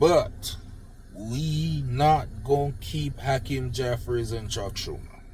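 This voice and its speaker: Somewhat breathy and medium in pitch, a man talks in a Jamaican accent at a very slow pace with lively intonation. Audible room echo surrounds him. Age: old. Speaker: political commentator vlogger. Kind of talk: unscripted rant.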